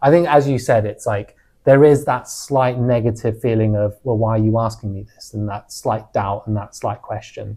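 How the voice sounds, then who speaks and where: A man with a London accent and a dark, mellow tone at a moderate pace, hardly any pauses, fairly even intonation and big swings in loudness, on a very clean recording with a silent background. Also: medium pitch for a man. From London, England. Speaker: podcast co-host. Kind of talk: casual chat.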